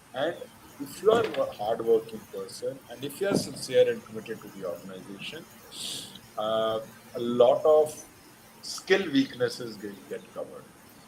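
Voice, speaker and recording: A man speaks at a moderate pace with long, frequent pauses. His loudness swings widely, and there is noticeable background noise. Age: 60s. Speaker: retired army general and polo player. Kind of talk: invited talk with Q&A.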